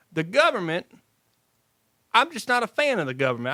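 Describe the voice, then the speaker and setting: A man's high-pitched, animated voice with an Appalachian accent, very fast delivery, a bright, sharp tone, and a dry, close sound with no echo on a very clean recording with a silent background. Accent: Appalachian Kentucky. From Eastern Kentucky (Clay County). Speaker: comedian. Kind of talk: casual chat.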